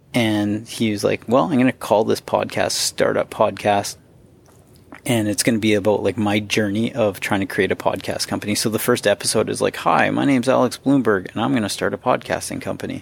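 Vocal fry runs through a man's fairly low voice. He speaks at a fairly quick pace with ordinary pitch variation. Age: 30s. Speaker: podcast host. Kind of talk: casual interview chat. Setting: remote call.

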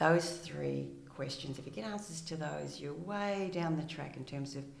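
A woman with an Australian accent speaks at a moderate pace. Her voice has audible room echo, with noticeable background noise. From rural Victoria, Australia. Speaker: retired police detective, clinical psychologist. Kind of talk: interview.

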